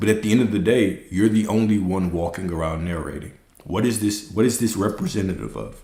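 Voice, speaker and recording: There is audible room echo around a man's fairly low voice. He sounds somewhat breathy and shows ordinary pitch variation. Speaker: spiritual teacher. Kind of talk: livestream talk. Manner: fast; animated.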